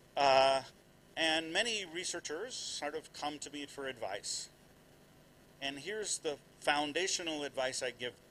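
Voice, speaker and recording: A man speaks at a fairly slow pace with long, frequent pauses and big swings in loudness. His fairly high pitch has ordinary variation and a bright, sharp tone. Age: 60s. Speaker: development economics professor. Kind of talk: lecture. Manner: animated.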